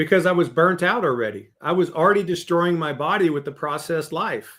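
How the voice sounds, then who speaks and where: A man talks at a fairly quick pace in a high pitch, with ordinary pitch variation. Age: 60s. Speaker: leadership coach and author. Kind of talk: podcast interview.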